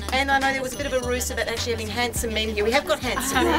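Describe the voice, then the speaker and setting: A woman is talking. Loud music plays behind her. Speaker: party host giving thanks. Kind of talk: party speech. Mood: cheerful, laughing. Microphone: camera far.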